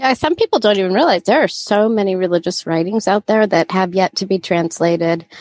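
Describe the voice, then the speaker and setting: At a fairly quick pace with hardly any pauses, a woman with a medium pitch and a plain, everyday voice keeps very even loudness and ordinary pitch variation, in a dry, close sound with no echo. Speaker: podcast host. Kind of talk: casual chat.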